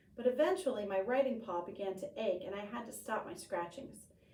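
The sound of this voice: This unforced reading voice rises and falls with lively intonation.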